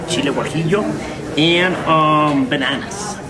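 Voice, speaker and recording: The noise in the background is loud. Through it comes a man's voice. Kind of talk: explaining dishes to guests. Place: cafe.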